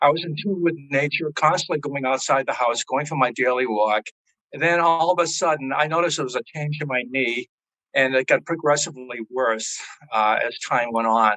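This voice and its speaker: A man with a Boston accent speaks at a moderate pace in a fairly high, bright, sharp tone, with dry, close sound and no echo. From Massachusetts, Boston area. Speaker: patient giving testimonial. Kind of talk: testimony. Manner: hesitant, with fillers and repetitions.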